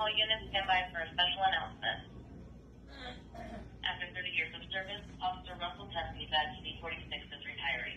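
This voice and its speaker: The talking runs at a very fast pace. Noticeable background noise is present. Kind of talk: radio announcement. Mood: formal and warm. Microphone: two way radio.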